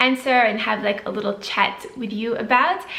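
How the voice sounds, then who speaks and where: In a Swedish accent, a woman speaks at a fairly high pitch. Audible room echo and noticeable background noise are present. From Sweden, then Switzerland. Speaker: beauty and lifestyle vlogger. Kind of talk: casual Q&A vlog to camera.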